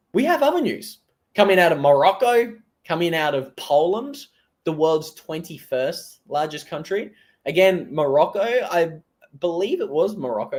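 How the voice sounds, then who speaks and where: On a very clean recording with a silent background, a man with an Australian accent speaks at a moderate pace in a high pitch with very wide pitch swings. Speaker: crypto commentator. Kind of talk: live stream commentary. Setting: live stream. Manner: casual, conversational.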